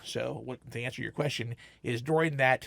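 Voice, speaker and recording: Vocal fry runs through this man's medium-pitched voice. He speaks at a fairly quick pace in a very clean recording with a silent background. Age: 60s. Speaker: comic shop owner, entrepreneur. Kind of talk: interview. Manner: animated; halting.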